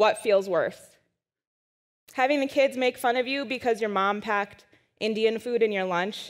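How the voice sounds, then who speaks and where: The background is silent in this very clean recording. An American accent comes through. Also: woman. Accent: Wisconsin accent, comes out when frustrated. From US Midwest, Madison, Wisconsin. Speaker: science writer and speaker. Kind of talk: conference talk. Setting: stage with audience.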